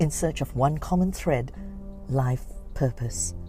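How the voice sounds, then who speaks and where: Over music in the background, a woman talks at a fairly slow pace, her pitch swinging very widely. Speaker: podcast host. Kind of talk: podcast trailer narration.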